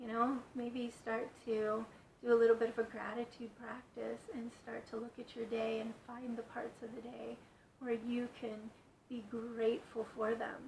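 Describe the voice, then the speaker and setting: A woman with a fairly high voice speaks in a calm tone at a fairly slow pace, her intonation flat and monotone. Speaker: yoga instructor. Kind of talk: guided yoga instruction. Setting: in bed at home. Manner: calm, slow.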